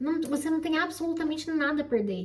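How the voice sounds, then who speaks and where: Over noticeable background noise, a woman speaks in an animated tone at a fairly quick pace. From Brazil. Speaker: YouTuber, immigrant office worker. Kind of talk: casual chat.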